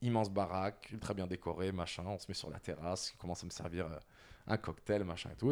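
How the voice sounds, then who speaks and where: Over a silent background in a very clean recording, a man with a very deep, low pitch talks at a very fast pace. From France. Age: 30s. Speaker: creative agency director. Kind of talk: personal testimony interview.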